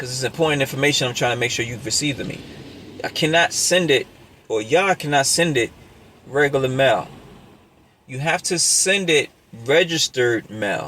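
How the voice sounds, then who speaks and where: A man speaks at a fairly high pitch with ordinary pitch variation and long, frequent pauses over noticeable background noise. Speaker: YouTuber sharing views on money and banking. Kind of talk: casual monologue to camera. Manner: fast.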